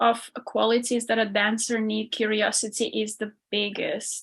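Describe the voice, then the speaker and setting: In an Armenian accent, a woman speaks at a fairly slow pace with a fairly high pitch and monotone, flat intonation against a quiet background. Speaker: ballet dancer and performance coach. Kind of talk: podcast interview.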